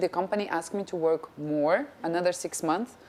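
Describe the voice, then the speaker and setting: At a moderate pace, a woman with a Russian accent speaks in a fairly low pitch. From Russia, then France from age ten. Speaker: actress and TV presenter. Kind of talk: interview.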